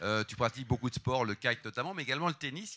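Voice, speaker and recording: A man speaks at a very fast pace in a medium pitch with a bright, sharp tone. The recording is dry and close, with no echo. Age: 50s. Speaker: interviewer. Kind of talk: interview. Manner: casual.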